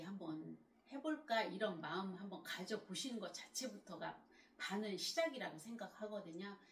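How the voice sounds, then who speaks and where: A woman with a medium pitch uses lively intonation, with vocal fry running through her voice. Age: 60s. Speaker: lifestyle YouTuber. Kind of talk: motivational talk to camera. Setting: at home. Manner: halting.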